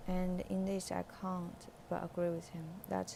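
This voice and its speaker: A woman speaks with a Chinese accent. Her pace is very slow. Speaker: English learner reading aloud on own channel. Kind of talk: reading aloud; casual reflection. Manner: halting, with hesitations and repeated words; hesitant with fillers.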